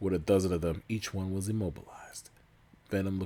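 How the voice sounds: The speaker is reading. It is a natural reading voice.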